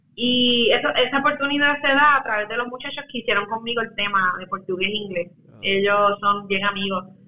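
A woman with a fairly high pitch talks at a fairly quick pace with hardly any pauses, ordinary pitch variation and big swings in loudness, amid noticeable background noise. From Puerto Rico. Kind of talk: interview.

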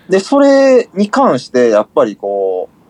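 Noticeable background noise accompanies a man whose voice has a dry, close sound with no echo. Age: 30s. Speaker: music label manager. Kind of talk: casual chat.

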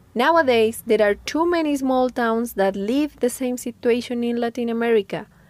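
A Spanish accent with ordinary pitch variation and hardly any pauses. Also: woman, high pitch for a woman, moderate pace. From Colombia, Andes. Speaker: podcast host. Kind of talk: scripted narration.

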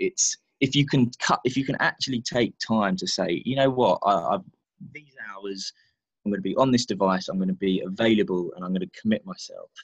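Speaking at a fairly quick pace, a man with a medium pitch makes very wide pitch swings and big swings in loudness, in a dry, close sound with no echo. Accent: British. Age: 30s. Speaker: author, former sales professional. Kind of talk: casual interview chat. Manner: hesitant, many fillers.

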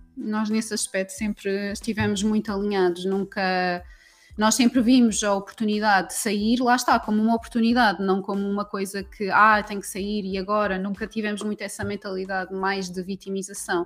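Music plays in the background as a woman talks at a medium pitch and fairly quick pace with fairly even intonation. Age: 30s. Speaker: women's empowerment coach. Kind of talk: casual chat.

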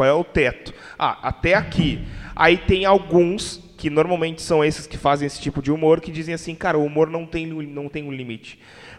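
Fairly quick, fairly high-pitched speech from a man, with big swings in loudness and noticeable background noise. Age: 20s. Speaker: podcast host. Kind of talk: casual chat.

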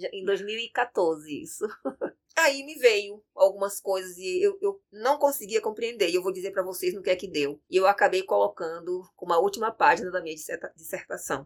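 With a plain, everyday voice at medium pitch, a woman talks at a moderate pace, her intonation lively and her loudness swinging widely. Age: 50s. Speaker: capoeira master and arts educator. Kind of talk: interview.

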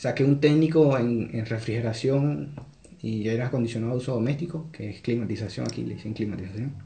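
With audible room echo, a somewhat breathy man speaks at a moderate pace with ordinary pitch variation. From Venezuela, Carúpano, Sucre state. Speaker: Venezuelan immigrant. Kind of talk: casual chat.

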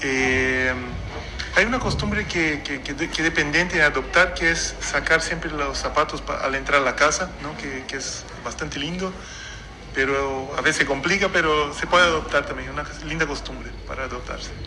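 Moderately paced speech from a man, audible room echo and noticeable background noise around it. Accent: Portuguese. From Brazil. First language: Portuguese (speaking Spanish). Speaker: traveler and wine taster. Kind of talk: interview. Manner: halting, many fillers.

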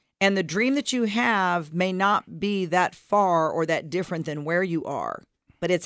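A woman's medium-pitched voice moves with ordinary pitch variation, captured in a very clean recording with a silent background. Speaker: radio co-host and leadership coach. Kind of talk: casual co-hosted radio discussion.

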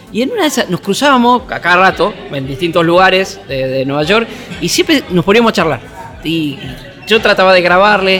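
Raising and projecting his high-pitched voice over crowd noise in the background, a man speaks with lively intonation in a Rioplatense accent. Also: fairly quick pace. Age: 50s. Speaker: sports journalist. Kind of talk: interview. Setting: café.

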